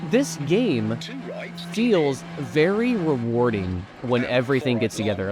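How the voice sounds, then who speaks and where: A man with an American accent speaks at medium pitch, with very wide pitch swings. There is noticeable background noise. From United States. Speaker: sim racing YouTuber. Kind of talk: gameplay review commentary. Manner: casual, conversational.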